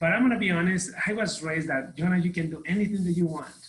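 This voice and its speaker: In a Mexican accent, a man talks very fast at a high pitch with ordinary pitch variation. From Mexico City, Mexico. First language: Spanish. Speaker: real estate team leader. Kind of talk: podcast interview.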